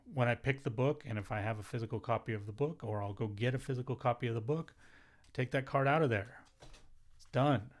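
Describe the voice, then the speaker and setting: Speaking at a very fast pace, a man with a medium pitch, ordinary pitch variation and a somewhat breathy sound comes through on a very clean recording with a silent background. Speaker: YouTuber on note-taking. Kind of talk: tutorial.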